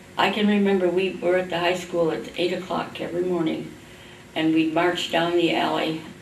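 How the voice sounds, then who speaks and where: Amid noticeable background noise and audible room echo, a woman with an American accent speaks at a moderate pace in a fairly low, flat, monotone voice. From US Midwest, Indiana. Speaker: oral history interviewee. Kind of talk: oral history interview. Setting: library.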